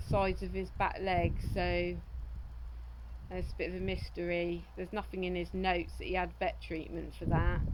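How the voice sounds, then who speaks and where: With audible room echo around her, a woman talks at a moderate pace. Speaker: horse owner selling a horse. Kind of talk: casual vlog talk. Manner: monotone; hesitant, many fillers.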